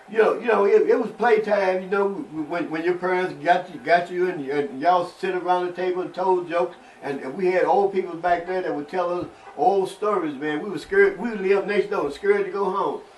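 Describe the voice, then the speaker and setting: A man's high-pitched voice at a fairly quick pace, fairly even in intonation, with noticeable background noise. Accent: American. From Cairo, Illinois (southern Illinois). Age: 70s. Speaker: civil rights activist. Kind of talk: interview testimony. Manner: halting, many repetitions.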